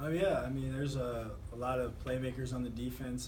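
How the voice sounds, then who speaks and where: A man's voice over noticeable background noise. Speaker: college football quarterback. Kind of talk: interview answer.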